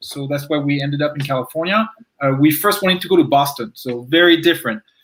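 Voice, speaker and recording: With a French accent, a man talks very fast at a fairly high pitch, with ordinary pitch variation. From France. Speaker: recent transplant to Texas. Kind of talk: panel interview.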